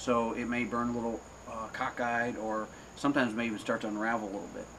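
There is light background noise. A man is speaking. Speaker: cigar reviewer, channel host. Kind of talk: casual review chat. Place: home room. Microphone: camera far.

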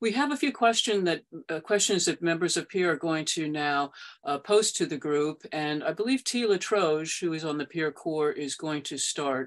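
At a moderate pace, a woman with a fairly low pitch speaks in an unremarkable speaking voice. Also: lively intonation, quiet background. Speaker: meeting moderator for advocacy group. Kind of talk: moderated meeting. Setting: video call. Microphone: webcam.

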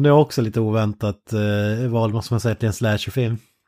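Over a silent background in a very clean recording, a plain, everyday voice moves at a fairly quick pace with a dry, close sound and no echo. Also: man. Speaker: podcast co-host. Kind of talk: casual chat.

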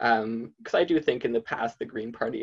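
The voice has a slightly mellow tone with a slightly husky edge and little pitch movement. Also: man.

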